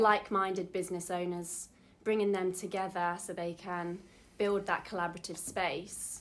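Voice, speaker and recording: A woman speaks with an East Midlands accent. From Derby, England. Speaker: business coach. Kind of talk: interview.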